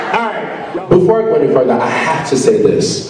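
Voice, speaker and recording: A man keeps a moderate pace as noticeable background noise runs under his voice. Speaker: inspirational youth speaker. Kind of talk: motivational speech to students. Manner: energetic, upbeat, conversational, engaging.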